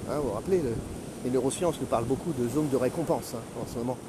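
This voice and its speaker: The speaker is a man with a medium pitch. Noticeable background noise runs under his voice. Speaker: retired career coach, podcaster. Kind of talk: solo podcast monologue. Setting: outdoors, walking on the beach. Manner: halting, many hesitations.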